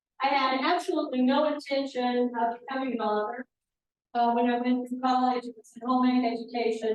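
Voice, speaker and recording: With a Midwestern US accent, a woman speaks at a fairly quick pace in a high pitch, her intonation fairly even but her loudness swinging widely. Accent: US Midwest. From Kansas. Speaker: author. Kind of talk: author talk.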